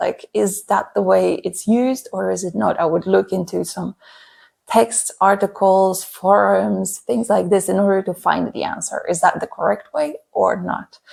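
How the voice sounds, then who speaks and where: A woman speaks in a Polish accent. Her pace is moderate. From Poland. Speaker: language learning content creator. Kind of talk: casual vlog talk. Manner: hesitant with fillers.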